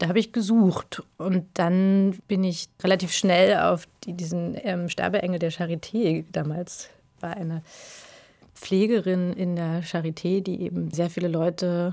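A woman speaks very slowly in a fairly low pitch, with fairly even intonation. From Berlin, eastern Germany. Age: 40s. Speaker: film director. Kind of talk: interview.

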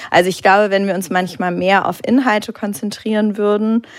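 A woman with a normal speaking voice at a medium pitch, a moderate pace and ordinary pitch variation. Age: 30s. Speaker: art auction house director. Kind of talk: live public talk interview. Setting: stage with audience.

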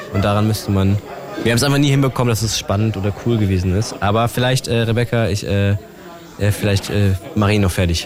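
A man talks at a very fast clip with fairly low pitch, ordinary pitch variation and very even loudness over noticeable background noise. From Brandenburg, Germany (Teltow near Berlin). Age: young. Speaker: rapper. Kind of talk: casual chat.

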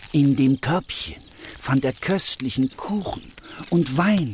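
Against noticeable background noise, a man speaks at a very slow pace in a calm, gentle tone. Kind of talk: fairy tale narration. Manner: calm, gentle storytelling pace.

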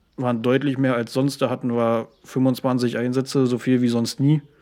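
Speaking at a moderate pace, a man uses a medium pitch and a dark, mellow tone with monotone, flat intonation. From Uckermark, Brandenburg. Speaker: volunteer fire brigade chief and paramedic. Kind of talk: casual interview.

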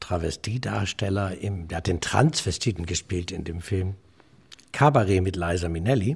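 Somewhat breathy, this man's voice sits at a very deep, low pitch. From Osnabrück, Lower Saxony, northern Germany. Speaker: comedian and entertainer. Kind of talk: casual interview. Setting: remote line. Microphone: good sound quality.

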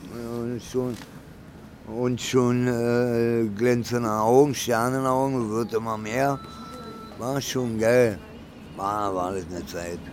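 Very slow speech with long, frequent pauses and fairly even intonation, plus audible room echo and noticeable background noise. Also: man, medium pitch for a man. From Berlin. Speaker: homeless man. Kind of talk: casual chat. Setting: underground train station.

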